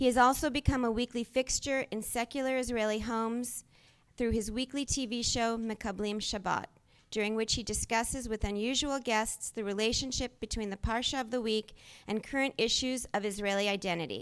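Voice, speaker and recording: Someone speaks in a plain, everyday voice at a fairly quick pace, with fairly even intonation and a quiet background. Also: woman, fairly high pitch for a woman. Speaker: event moderator. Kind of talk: reading an introduction. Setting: stage with audience.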